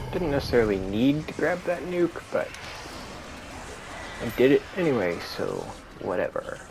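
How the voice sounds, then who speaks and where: Music plays in the background while a man talks with long, frequent pauses. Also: moderate pace. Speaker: gaming streamer. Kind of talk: gameplay commentary. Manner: casual with many fillers.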